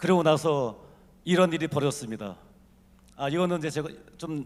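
This man's voice sits high in pitch. The background is silent on a very clean recording. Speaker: business executive. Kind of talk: conference talk.

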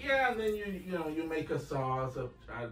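Amid audible room echo and light background noise, a man speaks at a moderate pace. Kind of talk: conversational interview answer. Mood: relaxed, friendly. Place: office. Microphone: camera far.

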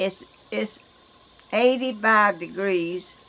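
Speaking very slowly in a Georgia accent, a woman uses ordinary pitch variation. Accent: Southern US, Georgia. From US South. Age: 80s+. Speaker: vlogger. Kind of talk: casual vlog talk. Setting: outdoors. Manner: halting. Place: garden. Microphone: camera far.

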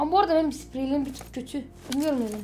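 A woman talks with ordinary pitch variation. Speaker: gaming youtuber. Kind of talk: casual gaming commentary. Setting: playing together at home. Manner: animated, joking.

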